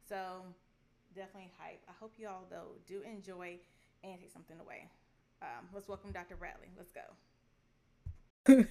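A woman speaks at a moderate pace in a medium pitch with a dark, mellow tone. Her pitch varies in an ordinary way, while her loudness swings widely. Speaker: podcast host. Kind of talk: interview conversation. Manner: animated, hyped.

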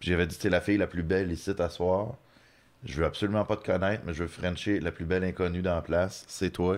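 Against a quiet background, a man with a very deep, low voice speaks at a fairly quick pace and with fairly even intonation. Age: 30s. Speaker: comedian. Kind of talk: casual chat.

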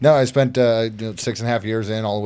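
In a normal speaking voice, a man talks at a fairly quick pace with fairly even intonation. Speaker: military veteran. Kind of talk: casual podcast chat.

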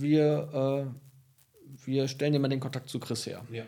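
A dark, mellow tone, somewhat breathy. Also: man. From Münsterland, northwestern Germany. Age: 30s. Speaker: senior physician, diabetologist. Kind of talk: casual interview. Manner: hesitant with fillers. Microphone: poorly set microphone, hard to understand.

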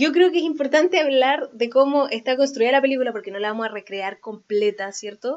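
A woman with a Chilean accent, high-pitched and lively in intonation, at a fairly quick pace with hardly any pauses. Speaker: podcast co-host. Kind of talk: casual chat.

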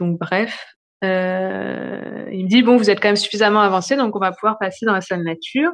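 At a moderate pace and medium pitch, a woman talks with fairly even intonation over a quiet background. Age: 30s. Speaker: new mother telling her birth story. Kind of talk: personal testimony. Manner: hesitant, many fillers.

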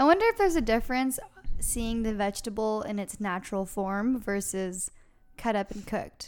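A woman speaks at a moderate pace in a normal speaking voice. Her pitch is fairly high, with ordinary pitch variation. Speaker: podcast host. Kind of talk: casual chat. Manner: joking, playful.

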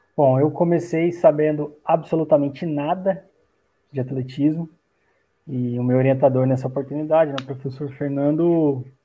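In a normal speaking voice, a man talks at a moderate pace and a fairly high pitch. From Brazil, Minas Gerais (Itajubá). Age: 30s. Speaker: athletics coach and sports science researcher. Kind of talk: casual interview.

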